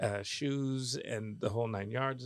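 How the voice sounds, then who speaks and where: A man with a plain, everyday voice, medium pitch and ordinary pitch variation. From United States. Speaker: opera singer. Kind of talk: interview answer.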